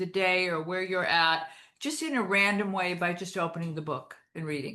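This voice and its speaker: A woman with an American accent has a bright, sharp tone at a medium pitch. Her pitch variation is ordinary, and the background is quiet. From US Midwest, Michigan (Detroit). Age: 70s. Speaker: perfumer and author. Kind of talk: interview.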